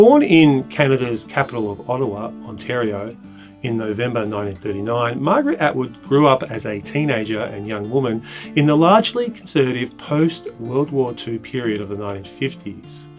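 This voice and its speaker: This man talks at a fairly quick pace with lively intonation and a medium pitch. Music plays in the background. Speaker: poetry teacher and presenter. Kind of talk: educational lecture narration.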